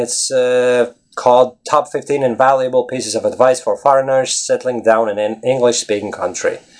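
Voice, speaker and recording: With a Latvian accent, a man speaks at a medium pitch and a fairly quick pace, with hardly any pauses. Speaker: English teacher. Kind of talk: casual video blog. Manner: animated.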